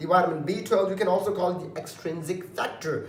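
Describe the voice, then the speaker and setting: High male voice at a fairly quick pace, with audible room echo and noticeable background noise. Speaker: online tutor. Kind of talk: lecture. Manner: fast; halting.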